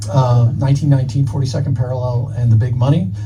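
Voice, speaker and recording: A man at medium pitch speaks over background music, with audible room echo. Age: 60s. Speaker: author. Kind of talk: live podcast interview. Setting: live event at a bookstore with audience. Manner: halting, many fillers and repeats.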